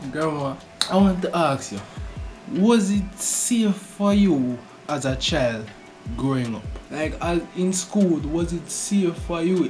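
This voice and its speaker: The speaker keeps to a fairly slow pace while music is heard in the background. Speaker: YouTube interviewer. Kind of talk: interview questions.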